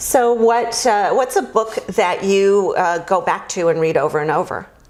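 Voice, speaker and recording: Against noticeable background noise, a woman speaks at a fairly slow pace and a medium pitch. Her loudness stays very even, and her pitch varies in an ordinary way. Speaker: interview host. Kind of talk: podcast interview questions.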